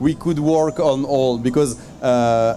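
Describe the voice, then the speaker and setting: A man speaks with a fairly high pitch and ordinary pitch variation. Noticeable background noise runs underneath. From France. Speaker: travel guide author on Armenian diaspora. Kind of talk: panel discussion. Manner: halting, many repetitions.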